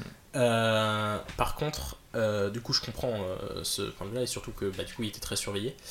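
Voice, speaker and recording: A man with a normal speaking voice, fairly low in pitch with ordinary pitch variation, at a moderate pace. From northern France (Nord). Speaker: film student. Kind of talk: casual chat.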